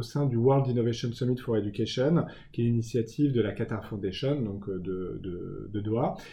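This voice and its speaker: Somewhat breathy, a man speaks at a fairly slow pace and medium pitch with ordinary pitch variation. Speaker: communications director. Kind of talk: interview. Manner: halting.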